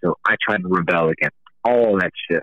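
A man speaks with an American accent and a bright, sharp tone. The sound is dry and close, with no echo. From US South, Atlanta, Georgia. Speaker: rock musician. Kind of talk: interview.

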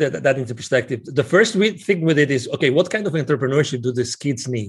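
Somewhat breathy, a man with a Spanish accent speaks at a moderate pace and fairly high pitch, his intonation lively. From Spain. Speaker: business consultant and nonprofit founder. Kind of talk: interview.

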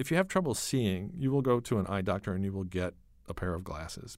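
On a very clean recording with a silent background, a man with a fairly low voice talks at a very fast pace using lively intonation. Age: 60s. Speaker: author and magazine writer. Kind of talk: interview.

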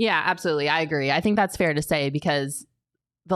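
A woman with an animated tone at a very fast pace. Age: 20s. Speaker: sports podcast host. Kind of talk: casual sports talk.

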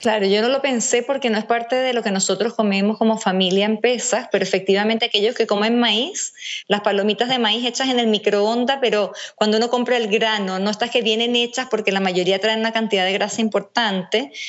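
Her loudness very even and her intonation fairly even, a woman speaks at a fairly high pitch. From Venezuela. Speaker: nutritionist. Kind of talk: casual interview.

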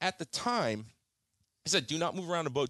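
A man's voice with vocal fry and very wide pitch swings, fairly quick in pace, in a dry, close sound with no echo. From Jamaica, Kingston. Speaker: charter fisherman. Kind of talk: testimony.

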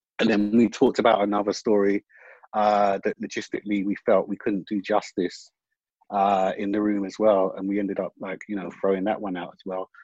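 In a London accent, a man with a fairly low pitch talks at a fairly quick pace with monotone, flat intonation and a dry, close sound with no echo. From West London. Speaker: screenwriter. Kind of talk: panel discussion. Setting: video call.

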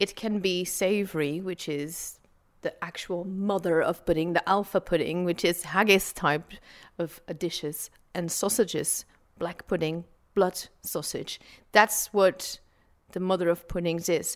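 A woman with a Dutch accent speaks fairly slowly at a fairly low pitch, her intonation fairly even on a very clean recording with a silent background. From Belgium, Flanders. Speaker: food historian. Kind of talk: interview.

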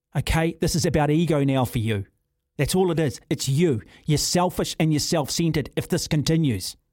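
The speaker has a New Zealand accent and talks at a fairly quick pace with ordinary pitch variation. Loudness stays very even on a very clean recording with a silent background. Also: man, fairly high pitch for a man. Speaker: sports radio host. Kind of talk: talkback radio. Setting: studio. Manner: animated.

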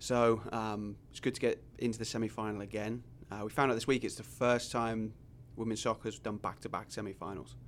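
At a fairly quick pace, a man talks in a monotone with flat intonation and medium pitch. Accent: English. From England. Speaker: college soccer coach. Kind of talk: casual chat.

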